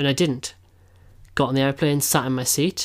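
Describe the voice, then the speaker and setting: In a very clean recording with a silent background, a man with an English accent and a fairly high pitch speaks at a very fast pace with fairly even intonation. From England. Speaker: podcast co-host. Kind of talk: casual chat.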